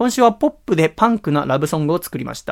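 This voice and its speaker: Words come very fast from a man. His intonation moves in a lively way. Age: 20s. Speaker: podcast host and musician. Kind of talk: casual chat. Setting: home recording.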